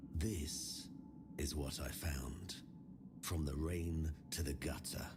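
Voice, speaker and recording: Over loud background noise, a speaker in a put-on character voice talks at a very slow pace in a weary tone. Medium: video game. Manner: weary, melancholic.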